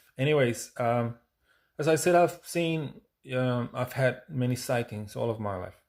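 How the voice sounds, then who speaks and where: A man with a non-native accent, fairly slow, with ordinary pitch variation, on a very clean recording with a silent background. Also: medium pitch for a man. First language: not English. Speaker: UFO experiencer and musician. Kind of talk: personal talk to camera. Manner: halting, many fillers.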